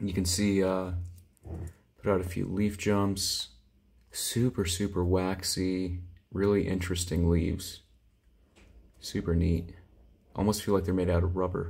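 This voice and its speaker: A man speaks at a fairly slow pace in a very deep, low pitch, somewhat breathy and monotone with flat intonation, his loudness very even and his pauses long and frequent. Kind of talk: casual vlog chat. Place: empty room. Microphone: phone near.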